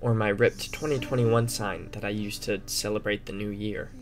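A man's voice with ordinary pitch variation plays over music in the background. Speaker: recent high school graduate narrator. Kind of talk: reflective narration.

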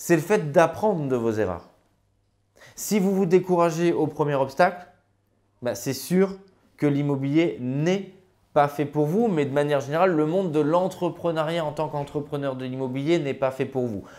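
The background is quiet as a man talks at a fairly slow pace. His fairly high pitch shows ordinary variation. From France, Grenoble; France. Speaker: real estate investment coach and author; real estate investment coach. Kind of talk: educational vlog monologue. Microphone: lapel.

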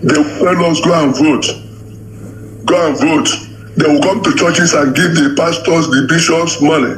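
A man with a Nigerian accent at a fairly high pitch, with long, frequent pauses, very even loudness and noticeable background noise. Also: ordinary pitch variation, moderate pace. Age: 60s. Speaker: caller. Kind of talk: call-in comment.

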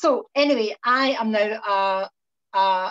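A woman with ordinary pitch variation against a quiet background. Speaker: presenter. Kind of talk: tutorial. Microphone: video call.

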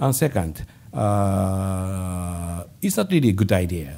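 A man with a Japanese accent has a very deep, low, dark and mellow voice. He sounds somewhat breathy, with ordinary pitch variation. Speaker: government finance official. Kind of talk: press conference. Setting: stage with audience. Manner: halting. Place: hall. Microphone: podium.

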